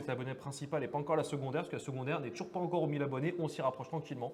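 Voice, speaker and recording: A man talks very fast in a fairly high voice. The room echo is audible. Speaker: card game stream commentator. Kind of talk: live commentary. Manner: animated.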